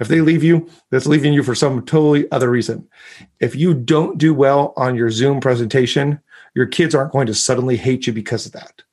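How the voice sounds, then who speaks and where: With an American accent, a man talks fairly quickly at a fairly high pitch, using an ordinary speaking voice and fairly even intonation. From US, lived in Mexico as a child, then US. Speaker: speaker and communication coach, author. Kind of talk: interview conversation.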